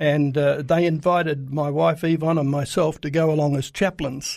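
Intonation stays fairly even, in an Australian accent. The recording is very clean, with a silent background. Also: man. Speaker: Middle East reporter. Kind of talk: radio interview. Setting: studio. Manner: halting, many filler uhs.

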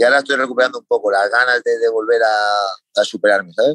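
The voice has a bright, sharp tone and ordinary pitch variation, moving at a fairly quick pace in a dry, close sound with no echo. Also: man. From Spain. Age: 30s. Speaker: MMA fighter. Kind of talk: interview.

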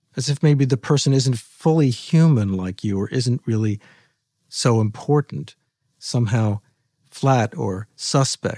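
An unremarkable speaking voice from a man at medium pitch, fairly slow pace, ordinary pitch variation, very clean recording with a silent background, dry and close with no echo. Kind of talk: guided meditation. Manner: slow, soothing, calm and gently instructive; unhurried with long pauses, soft and inviting.

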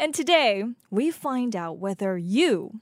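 A woman's fairly slow speech with very wide pitch swings, in a dry, close sound with no echo. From South Korea. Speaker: radio host. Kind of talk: radio interview. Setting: studio.

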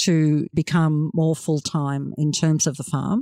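A woman with an Australian accent speaks at a very slow pace, her pitch very deep and low. The recording is very clean and silent behind her, with a dry, close sound and no echo. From Australia, rural New South Wales near Dubbo. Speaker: farmer. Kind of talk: interview. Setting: on the farm.

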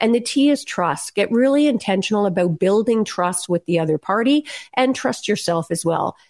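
A woman speaks in a normal speaking voice, at medium pitch and a moderate pace, with lively intonation and very even loudness. The sound is dry and close with no echo, and the background is quiet. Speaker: attorney and negotiation author. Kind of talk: interview.

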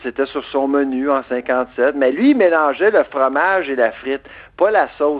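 A man's fairly high-pitched voice at a fairly slow pace, with ordinary pitch variation. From Quebec, Eastern Townships (Bois-Francs). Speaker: food industry researcher and author. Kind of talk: radio interview. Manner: animated, laughs often.

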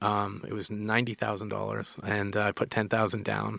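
A man speaking at a moderate pace. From Canada. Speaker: tech entrepreneur. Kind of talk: casual interview chat. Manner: halting, filler-heavy.

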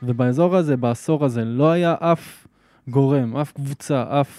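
A man's dark, mellow voice at a moderate pace with ordinary pitch variation, dry and close with no echo, in a very clean recording with a silent background. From Israel, Gaza border kibbutz. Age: 30s. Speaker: interviewee, local resident. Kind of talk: interview. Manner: hesitant, many fillers.

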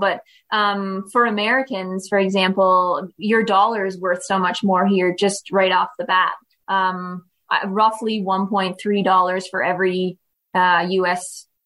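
In a Maritime Canadian accent, a bright, sharp tone comes at a moderate pace on a very clean recording with a silent background. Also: woman. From Canada (Prince Edward Island). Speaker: tourism representative. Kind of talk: interview.

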